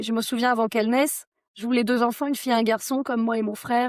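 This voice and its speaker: A woman's fairly high, monotone and flat voice at a very fast pace, dry and close with no echo, in a very clean recording with a silent background. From France, Haute-Savoie. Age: 30s. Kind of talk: podcast interview, personal testimony.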